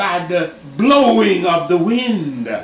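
A man talks at a very slow pace, with audible room echo and light background noise behind him. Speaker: preacher. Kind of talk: sermon.

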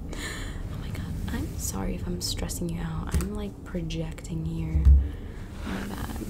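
A soft-spoken woman with a gentle tone talks over loud background noise. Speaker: vlogger. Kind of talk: casual vlog chat. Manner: soft-spoken, gentle ASMR voice. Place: home room. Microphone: phone near.

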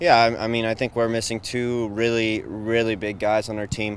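A man speaks at a moderate pace with a fairly low pitch. The sound is dry with no echo, over light background noise. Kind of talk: interview answer. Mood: calm, thoughtful.

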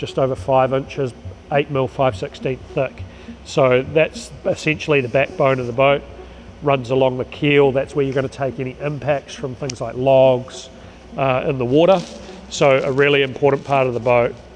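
A man at a moderate pace with ordinary pitch variation, music in the background. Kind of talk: explanatory walkthrough. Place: factory.

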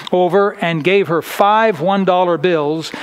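The pace is very slow. Pitch variation is ordinary. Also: man. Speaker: preacher. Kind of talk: sermon. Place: church.

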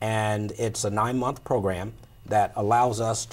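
An unremarkable speaking voice from a man, fairly low in pitch, fairly slow, with ordinary pitch variation. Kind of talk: interview answer. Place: studio. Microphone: lapel.

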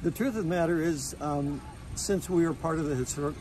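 With noticeable background noise but a dry sound and no echo, a man talks with fairly even intonation. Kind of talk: interview answer. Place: street. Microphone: phone near.

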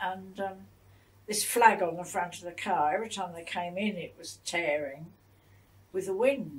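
A woman with a southern English accent, medium in pitch, with ordinary pitch variation and big swings in loudness. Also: moderate pace. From England, Broadwater Down. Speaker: war-time civilian witness. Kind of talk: interview answer. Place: home room.

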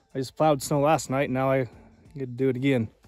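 Faint music plays behind a man whose voice sounds dry, with no echo. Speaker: farmer vlogger. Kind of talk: casual vlog chat. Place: street. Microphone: phone near.

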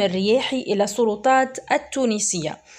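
Speaking with a Tunisian accent, a woman uses a fairly high pitch with ordinary pitch variation. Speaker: news commentator. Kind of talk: news commentary. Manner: halting.

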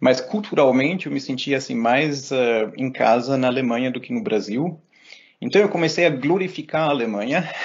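At a moderate pace, this man talks with lively intonation. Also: medium pitch for a man. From Germany and Brazil. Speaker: philosophy professor. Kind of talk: interview conversation. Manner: halting, frequent repetitions.

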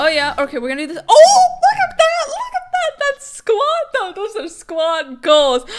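A woman speaks at an extremely high pitch while faint music plays in the background. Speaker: gaming streamer. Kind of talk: excited gameplay commentary. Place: home room.

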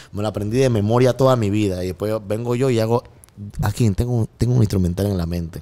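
Speech comes at a very fast pace in a Panamanian accent. The intonation is fairly even. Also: man, fairly low pitch for a man. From Panama, Colón. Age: 30s. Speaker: music producer; guest. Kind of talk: casual chat. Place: studio. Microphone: studio mic.

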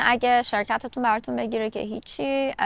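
A woman's high-pitched voice at a fairly quick pace, dry with no echo. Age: 30s. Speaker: vlogger. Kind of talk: casual vlog monologue. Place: garden. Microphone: lapel.

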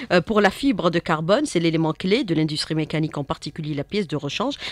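Her voice fairly low for a woman, she speaks at a very fast pace in a dry sound with no echo. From Algeria. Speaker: radio host. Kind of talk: radio interview. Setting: studio. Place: studio. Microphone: studio mic.

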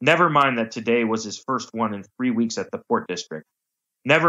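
Lively intonation from an unforced reading voice, quiet background behind it

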